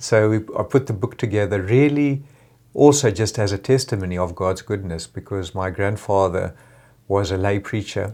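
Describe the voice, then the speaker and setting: Dark, mellow tone at a moderate pace with ordinary pitch variation, on a very clean recording with a silent background. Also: man, fairly low pitch for a man. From Zimbabwe. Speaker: engineer. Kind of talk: testimony. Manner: halting, many fillers.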